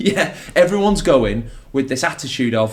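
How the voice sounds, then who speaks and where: Noticeable background noise sits under the clip. A man speaks at a fairly quick pace. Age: 30s. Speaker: wedding magician. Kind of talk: podcast interview. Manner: fast; energetic.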